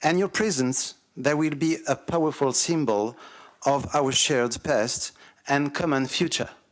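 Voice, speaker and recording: A man with a French accent talks fairly slowly at a fairly high pitch, with ordinary pitch variation and very even loudness. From France. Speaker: councillor, visiting delegate. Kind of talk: formal ceremonial speech.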